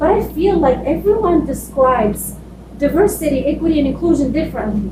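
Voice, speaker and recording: A woman with a non-native accent speaks at a high pitch with lively intonation and a fairly quick pace, over noticeable background noise and audible room echo. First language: not English. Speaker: school diversity and equity leader. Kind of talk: conference presentation. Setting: conference room with audience.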